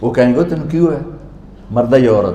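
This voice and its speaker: A man's voice over noticeable background noise. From Pakistan, Punjab. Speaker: Islamic preacher. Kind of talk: religious sermon.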